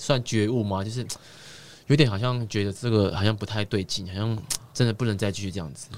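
Fairly low in pitch with ordinary variation, a man talks at a fairly quick pace with big swings in loudness. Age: 20s. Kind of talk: casual chat. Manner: halting.

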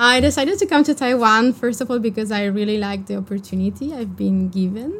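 A woman with a fairly high pitch talks at a fairly quick pace, somewhat breathy and with hardly any pauses. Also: ordinary pitch variation. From France. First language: French or Spanish. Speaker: PhD student. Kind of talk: casual interview.

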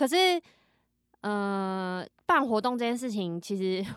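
The recording is very clean with a silent background. A woman with a plain, everyday voice speaks at a medium pitch with lively intonation. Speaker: social media content creator. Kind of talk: casual chat.

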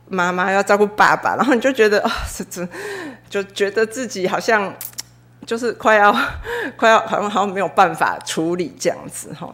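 With noticeable background noise, a woman speaks at a fairly quick pace but leaves long, frequent pauses, her medium pitch showing ordinary variation. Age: 40s. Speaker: church member giving testimony. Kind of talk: testimony. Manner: halting, many fillers.

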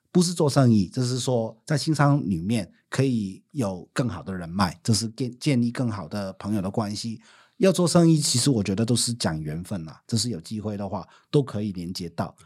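Speaking in a Hong Kong accent at a moderate pace, a man with a medium pitch makes very wide pitch swings on a very clean recording with a silent background. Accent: Hong Kong accent in Mandarin. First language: Cantonese (speaking Chinese). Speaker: business owner and former social worker. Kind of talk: casual chat.

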